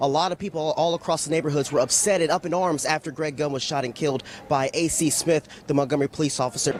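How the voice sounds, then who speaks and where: Over noticeable background noise, a man talks at a very fast pace. His pitch is fairly high, with ordinary variation. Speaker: TV news reporter and anchor. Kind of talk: TV news read.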